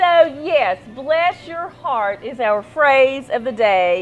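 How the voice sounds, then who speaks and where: A woman speaks at a high pitch with very wide pitch swings. Noticeable background noise can be heard. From Central Appalachia. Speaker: talk show host. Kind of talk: casual chat.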